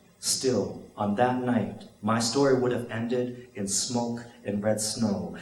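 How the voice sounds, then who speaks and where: Someone talks at a very slow pace over noticeable background noise. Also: man, medium pitch for a man. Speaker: spoken word poet. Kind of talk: spoken word poetry performance.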